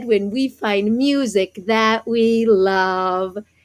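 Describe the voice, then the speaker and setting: Putting on a character voice, a woman with a fairly high pitch speaks at a very slow pace with fairly even intonation. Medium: read story.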